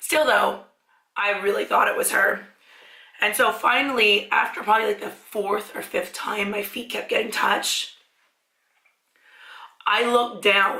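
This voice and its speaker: A woman at a fairly slow pace, with long, frequent pauses and fairly even intonation. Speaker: mukbang YouTuber. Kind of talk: casual talk to camera.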